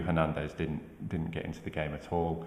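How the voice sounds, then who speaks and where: Over noticeable background noise and audible room echo, a man with a Manchester accent speaks in a very deep, low pitch. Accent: Manchester twang. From northern England, Manchester. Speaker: football pundit. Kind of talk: casual chat.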